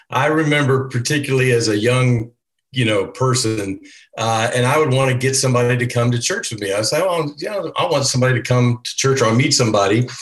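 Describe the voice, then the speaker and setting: A man talks at a very fast pace in a somewhat breathy, medium-pitched voice. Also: ordinary pitch variation. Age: 60s. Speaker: church elder panelist. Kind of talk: casual panel discussion.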